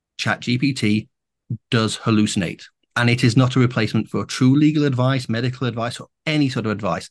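Using an ordinary speaking voice, a man talks at a fairly quick pace and medium pitch with fairly even intonation. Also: quiet background. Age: 50s. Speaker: AI and new media entrepreneur, podcast host. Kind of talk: interview conversation.

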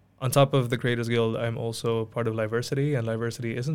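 The speech comes very fast with monotone, flat intonation. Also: man. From Mauritius. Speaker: student association co-founder. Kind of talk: podcast interview. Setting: studio.

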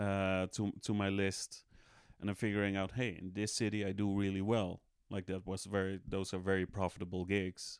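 A man's fairly low voice at a moderate pace, on a very clean recording against a silent background. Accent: Dutch. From Netherlands, Amsterdam. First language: Dutch. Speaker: stand-up comedian. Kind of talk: casual chat.

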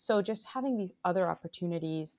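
A woman with an American accent and a fairly low pitch, a plain, everyday voice at a moderate pace, in a very clean recording with a silent background and a dry, close sound with no echo. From Bangladesh and US. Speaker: digital health executive. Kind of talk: interview.

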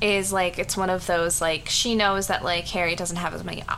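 A woman speaks in a flat monotone at a fairly low pitch. Her pace is moderate, with noticeable background noise. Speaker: podcast co-host. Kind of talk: casual chat.

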